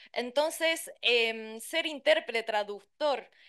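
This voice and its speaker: A woman with a fairly high pitch talks over a quiet background. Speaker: interpreter and translator; conference panelist. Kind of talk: conference talk. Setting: conference with interpreters' booth. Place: hall. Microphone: podium.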